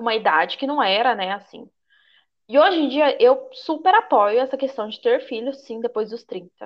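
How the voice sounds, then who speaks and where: A woman speaks at a moderate pace in a high voice. Her loudness swings widely and her pitch rises and falls over a very wide range. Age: 20s. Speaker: podcast co-host. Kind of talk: casual chat. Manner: animated.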